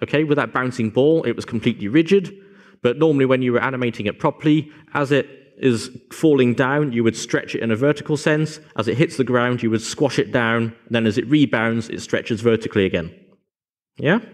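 A man's fairly quick delivery, with ordinary pitch variation, comes through against a quiet background. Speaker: conference presenter. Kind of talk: lecture. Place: hall.

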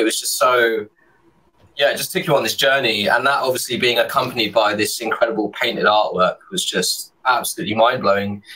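The man's delivery is fairly quick. His pitch rises and falls an ordinary amount. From London, England. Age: 30s. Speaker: illustrator. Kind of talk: casual chat. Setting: video call. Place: home room. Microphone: studio mic.

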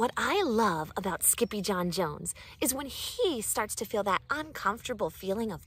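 The delivery uses an unforced reading voice with lively intonation.

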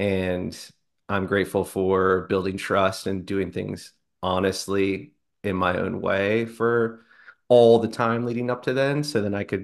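A man at a fairly slow pace with fairly even intonation and a quiet background. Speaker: guest business coach. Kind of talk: interview answer. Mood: relaxed, friendly, some laughs. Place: home room. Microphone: video call.

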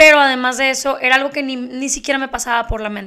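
A woman with a high pitch and a bright, sharp tone uses a raised, projected voice at a fairly quick pace with fairly even intonation, against a quiet background. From Mexico. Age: 30s. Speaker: beauty youtuber and podcast host; beauty youtuber, podcast host. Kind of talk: casual monologue. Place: home room. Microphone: handheld.

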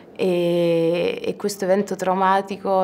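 The speech moves at a very slow pace. Light background noise can be heard. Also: woman. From Ostia, Rome, Italy; Italy. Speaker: actress. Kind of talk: press interview. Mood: thoughtful, calm. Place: hall.

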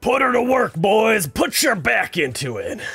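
A man puts on a character voice. It is raspy and high-pitched. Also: moderate pace. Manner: gruff, commanding.

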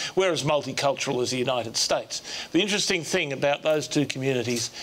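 With an Australian accent, a man talks at a fairly quick pace with ordinary pitch variation. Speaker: diplomat and former politician. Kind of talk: panel discussion. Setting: stage with audience. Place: hall. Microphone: lapel.

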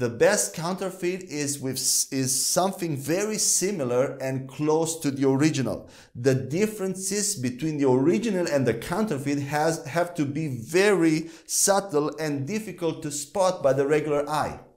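Against a quiet background, the speech moves at a moderate pace with ordinary pitch variation and hardly any pauses. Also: man. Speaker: Bible teacher. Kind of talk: teaching lecture. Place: studio. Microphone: lapel.

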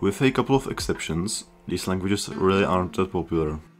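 Over music in the background, a man with a very deep, low voice speaks at a fairly quick pace with lively intonation. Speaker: programming educator. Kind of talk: educational explainer narration.

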